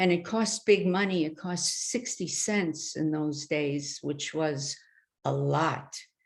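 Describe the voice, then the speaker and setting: Very slowly, a woman with an American accent speaks in a very deep, low voice with ordinary pitch variation. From New York City (the Bronx). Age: 70s. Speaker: artist. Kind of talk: artist talk. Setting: webinar.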